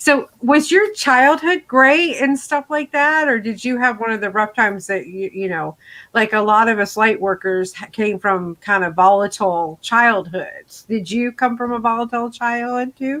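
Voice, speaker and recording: A woman speaks loudly at a moderate pace in a bright, sharp tone with a fairly high pitch and lively intonation. She leaves hardly any pauses, and the recording is very clean with a silent background. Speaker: radio show host, reverend. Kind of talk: casual interview chat. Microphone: good microphone.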